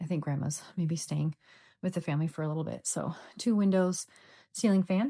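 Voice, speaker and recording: Against a quiet background, the voice has a dark, mellow tone, somewhat breathy, with ordinary pitch variation and a fairly quick pace broken by long, frequent pauses. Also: woman, fairly low pitch for a woman. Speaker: real estate agent. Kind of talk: property walkthrough tour. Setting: indoors, walking through a house. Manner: casual, filler-heavy; lowered voice.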